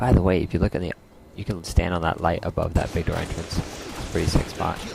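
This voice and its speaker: Quiet and very deep, a man talks at a very fast pace. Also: fairly even intonation. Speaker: gameplay commentator. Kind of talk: gameplay commentary. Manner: casual, filler-heavy.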